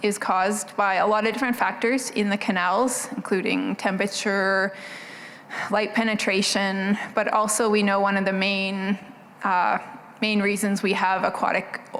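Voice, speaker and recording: A soft-spoken woman at medium pitch talks in a monotone, flat intonation at very even loudness, with audible room echo and noticeable background noise. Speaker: government agriculture researcher. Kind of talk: conference presentation. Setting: conference stage with audience.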